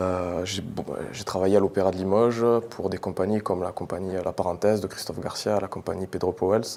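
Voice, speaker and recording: A man talks in a very deep, low voice. His intonation is monotone and flat, and his pace is fairly quick. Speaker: pole dance champion. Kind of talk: TV interview answer.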